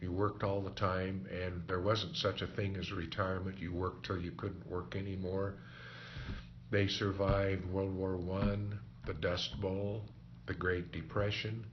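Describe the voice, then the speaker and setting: A man with a Midwestern US accent speaks at a very deep, low pitch, somewhat breathy. His pace is fairly slow and his intonation fairly even, with audible room echo. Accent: US Midwest. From Kansas. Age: 70s. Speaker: oral history interviewee. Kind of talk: oral history interview.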